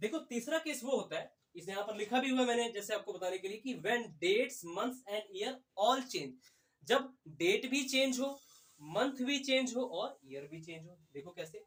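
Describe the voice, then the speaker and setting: A man's extremely high pitch and lively intonation at a moderate pace. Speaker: exam prep teacher. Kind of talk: lecture.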